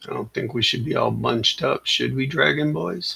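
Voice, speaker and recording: Putting on a raspy character voice, a man talks at a moderate pace in a medium pitch. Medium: actual play.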